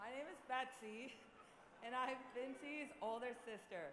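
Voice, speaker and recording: Here is a woman with a high pitch. Audible room echo and noticeable background noise surround her voice. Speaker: bride's sister giving wedding speech. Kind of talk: wedding toast speech. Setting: wedding reception hall.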